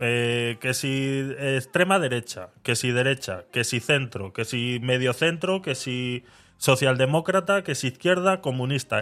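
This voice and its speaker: A man with a medium pitch talks very slowly, his intonation lively. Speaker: podcast host. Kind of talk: casual chat.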